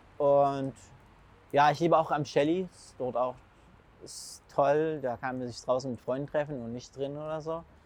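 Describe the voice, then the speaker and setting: A man with a fairly high voice speaks at a moderate pace, his intonation fairly even and broken by long, frequent pauses. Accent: Arabic. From Syria. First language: Arabic (speaking German). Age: 20s. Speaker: food blogger and school student. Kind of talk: casual interview. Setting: outdoors in city. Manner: halting.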